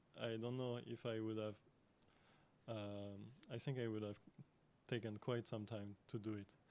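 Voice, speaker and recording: Monotone and flat, a man with a fairly low voice speaks at a moderate pace with long, frequent pauses. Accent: French. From France. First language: French. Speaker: artist and lecturer. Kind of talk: conference Q&A answer. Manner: halting, many fillers.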